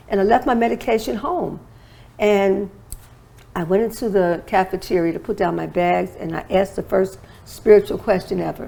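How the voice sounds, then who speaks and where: A woman with a dark, mellow tone and vocal fry uses ordinary pitch variation. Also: medium pitch for a woman, moderate pace. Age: 60s. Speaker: holistic wellness expert and author. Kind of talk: interview testimony.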